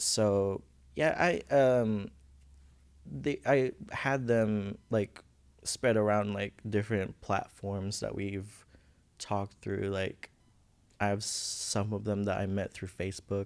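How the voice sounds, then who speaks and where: Speaking with a Filipino accent, a man goes at a very slow pace with long, frequent pauses and ordinary pitch variation. The recording is very clean, with a silent background. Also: fairly low pitch for a man. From Philippines. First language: Visayan. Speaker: college student. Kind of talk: podcast interview. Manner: halting.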